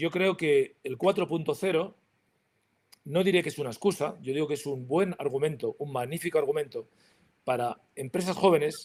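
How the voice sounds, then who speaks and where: A normal speaking voice from a man, fairly high in pitch, at a moderate pace with ordinary pitch variation. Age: 60s. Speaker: industry association president. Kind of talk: panel talk.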